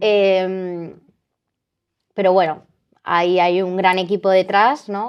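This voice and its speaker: A woman is speaking. The background is quiet. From Spain, Madrid. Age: 20s. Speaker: eating disorder survivor, interviewee. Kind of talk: personal testimony in interview. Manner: animated, self-interrupting with fillers.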